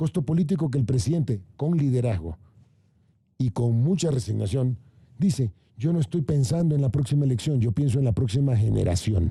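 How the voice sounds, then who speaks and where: Somewhat breathy and dark, mellow in tone, a man with a fairly high voice talks at a fairly quick pace with very wide pitch swings. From Ecuador, Guayaquil (coast). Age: 60s. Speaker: government official. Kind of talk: panel debate. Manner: animated.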